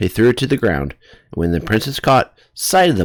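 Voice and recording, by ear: Someone is heard reading aloud in a natural voice.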